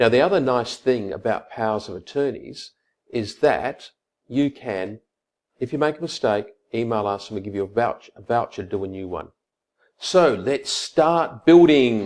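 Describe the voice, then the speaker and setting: A man with an Australian accent speaks at a moderate pace and medium pitch, his intonation lively and his loudness swinging widely. The recording is very clean, with a silent background. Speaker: lawyer. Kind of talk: tutorial. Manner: casual, conversational.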